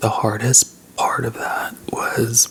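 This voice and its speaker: Very slow male speech against noticeable background noise. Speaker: ASMR mukbang YouTuber. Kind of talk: casual talk to camera. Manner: slow, subdued, sincere.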